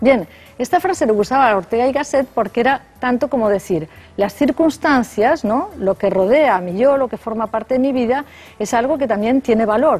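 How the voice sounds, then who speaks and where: With a Spanish accent and lively intonation, a high-pitched woman talks at a moderate pace while music plays in the background. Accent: Peninsular Spanish. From Spain. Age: 60s. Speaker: philosophy professor. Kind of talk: radio interview. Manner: hesitant, thinking aloud.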